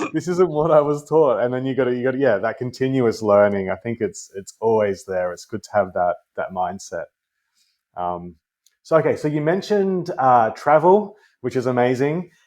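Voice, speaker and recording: Over a quiet background, a man with an Australian accent speaks with very wide pitch swings. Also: medium pitch for a man, moderate pace. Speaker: career coach, podcast host. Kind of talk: casual interview questions.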